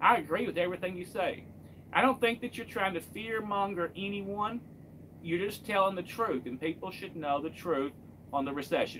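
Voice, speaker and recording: A man's high-pitched voice with a Kentucky accent, at a moderate pace. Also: ordinary pitch variation. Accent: Kentucky Southern US. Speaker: truck driver and live streamer. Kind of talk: casual live stream chat.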